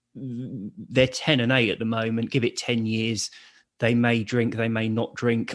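The setting is quiet. A man talks in a medium pitch. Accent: London. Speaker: author and speaker on alcohol addiction. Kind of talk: casual interview. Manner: blunt, laid-back.

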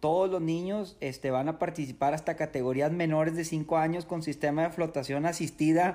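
Speaking at a fairly quick pace with hardly any pauses, a man with a northern Mexican accent has a fairly high pitch, a dark, mellow tone and fairly even intonation, in a very clean recording with a silent background. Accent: northern Mexican (regio). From Mexico, Nuevo León (Apodaca, Monterrey area). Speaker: triathlon coach and ultra-endurance athlete. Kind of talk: interview.

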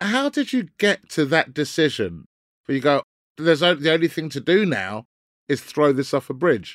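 A man with a London accent, fairly high pitch and lively intonation, in a very clean recording with a silent background and a dry, close sound with no echo. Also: moderate pace. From North London. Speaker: comedian. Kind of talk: casual chat.

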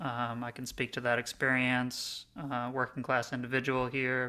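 A deadpan, bright, sharp voice comes at a fairly slow pace with monotone, flat intonation, in a very clean recording with a silent background. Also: man. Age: 30s. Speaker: podcast host. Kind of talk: casual chat. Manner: halting, many fillers.

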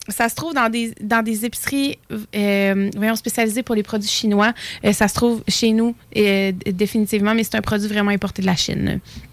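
Against noticeable background noise, a woman speaks at a moderate pace in a fairly high pitch with fairly even intonation. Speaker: snack shop owner. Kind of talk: casual chat.

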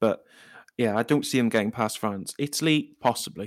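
Moderate speed on a very clean recording with a silent background. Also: man. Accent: Welsh. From Wales. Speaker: football podcast contributor. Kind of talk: casual chat.

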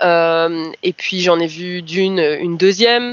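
Her pitch is fairly low for a woman. It varies in an ordinary way. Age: 20s. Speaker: person with lived experience of mental illness. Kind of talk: personal testimony. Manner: hesitant, many fillers.

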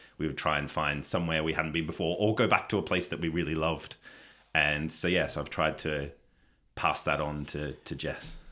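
In an Australian accent, a man with a very deep, low pitch and a bright, sharp tone talks at a fairly quick pace with fairly even intonation. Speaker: podcast guest, stepfather and father. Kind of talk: casual chat.

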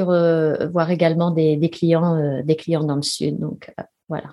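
The speaker is a woman with a fairly low pitch. She talks at a fairly slow pace. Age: 50s. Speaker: ultramarathon runner and sports business executive. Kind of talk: interview. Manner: hesitant, many fillers.

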